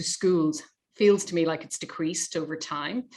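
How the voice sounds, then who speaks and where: Her accent is Irish. This woman talks at a moderate speed. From Ireland. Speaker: charity representative, interviewer. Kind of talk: webinar discussion.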